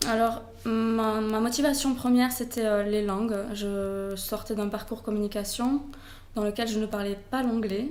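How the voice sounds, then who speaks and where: A woman with a Toulouse accent speaks fairly slowly at a fairly high pitch, with fairly even intonation. Audible room echo and noticeable background noise fill the recording. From southern France, Toulouse. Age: 20s. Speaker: blogger, expat. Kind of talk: interview. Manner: hesitant, many fillers.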